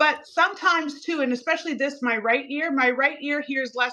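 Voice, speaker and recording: A woman's high, raised and projected voice, fairly quick, with ordinary pitch variation. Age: 60s. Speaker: cosmetic chemist and skincare brand founder. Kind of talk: TV shopping presentation. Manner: animated.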